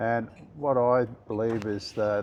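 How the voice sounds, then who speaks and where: A man with an Australian accent speaks at a fairly low pitch with fairly even intonation. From Queensland, Australia. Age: 70s. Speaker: businessman. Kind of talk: interview. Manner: halting, many fillers.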